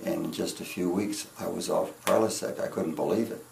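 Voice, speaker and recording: Audible room echo fills the space around a man. He talks at a moderate pace. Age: 70s. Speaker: patient. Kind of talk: testimony. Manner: halting.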